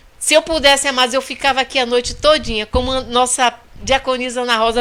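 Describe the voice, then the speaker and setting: An animated woman at a moderate pace amid noticeable background noise. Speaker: pastor. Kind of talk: sermon. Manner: soft-spoken usually; animated, fervent.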